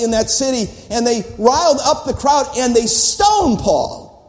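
A man's extremely high-pitched voice at a moderate pace, with noticeable background noise. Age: old. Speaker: visiting preacher at missions conference. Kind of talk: sermon. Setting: church. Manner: animated.

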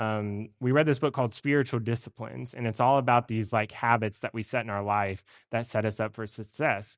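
A man's unremarkable speaking voice at a medium pitch, fairly quick and with hardly any pauses, in fairly even intonation over a quiet background. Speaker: seminary student preacher. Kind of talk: sermon. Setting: church.

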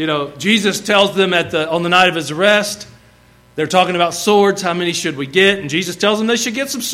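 A natural voice reading aloud, with ordinary variation in pitch

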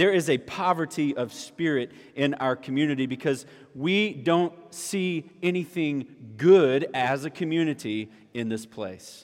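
Fairly slowly, a man speaks in a South Carolina accent with a fairly high pitch and ordinary pitch variation. The recording is very clean, with a silent background. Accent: Southern US (South Carolina). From US South, South Carolina (Orangeburg). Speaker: pastor. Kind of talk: sermon.

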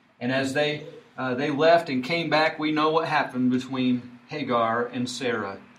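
Moderately paced speech from a man, amid audible room echo and noticeable background noise. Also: medium pitch for a man, fairly even intonation. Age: 40s. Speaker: preacher. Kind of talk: sermon.

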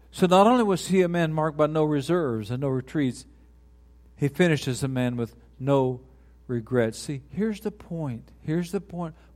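Someone with an American accent uses an unremarkable speaking voice with lively intonation. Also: man, fairly high pitch for a man, moderate pace. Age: 60s. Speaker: retiring pastor. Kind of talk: sermon. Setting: church.

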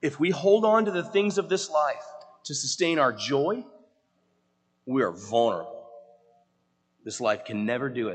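With long, frequent pauses, a man talks at a moderate pace in a fairly high pitch, his voice swinging very widely up and down. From US South. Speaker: pastor. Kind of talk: sermon. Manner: halting.

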